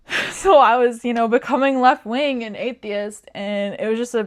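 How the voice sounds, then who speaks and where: The speaker uses a normal speaking voice. Pitch rises and falls in an ordinary way. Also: woman. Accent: American. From US Midwest, rural Nebraska. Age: 20s. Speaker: vlogger. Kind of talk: casual chat. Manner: casual, filler-heavy.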